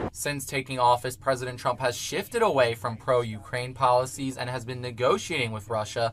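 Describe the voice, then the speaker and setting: Here a man has a plain, everyday voice at a medium pitch with fairly even intonation. He moves at a fairly quick pace with hardly any pauses. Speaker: student broadcast reporter and anchor. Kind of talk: TV news reporter stand-up and live shot delivery.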